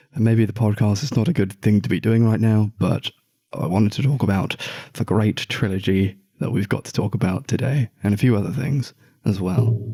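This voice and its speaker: A man speaks with a fairly low, dark and mellow voice that is somewhat breathy. His pace is moderate and his pitch variation ordinary. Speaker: podcast host. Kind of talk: casual chat. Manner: quiet, held down.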